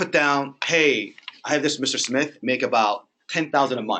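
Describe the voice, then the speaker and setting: The voice is loud, with a bright, sharp tone. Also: man. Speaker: mortgage lender. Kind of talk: training presentation.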